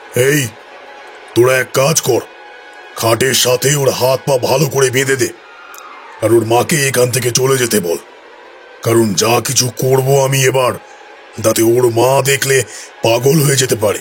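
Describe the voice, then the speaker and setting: A man's put-on character voice at medium pitch, with very even loudness, fairly even intonation, a moderate pace and clear background noise. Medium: audio drama. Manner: commanding.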